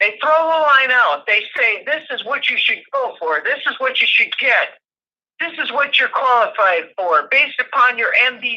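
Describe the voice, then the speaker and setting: Her voice is high for a woman, with lively intonation. She speaks at a moderate pace. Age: 60s. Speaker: livestream guest. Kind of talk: casual chat. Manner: halting, repeats words.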